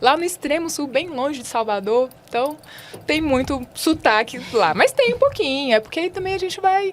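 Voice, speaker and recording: Over noticeable background noise, a woman with a high pitch talks at a moderate pace, her voice making very wide pitch swings. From Brazil, far south of Bahia. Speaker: nursing professor. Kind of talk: podcast interview.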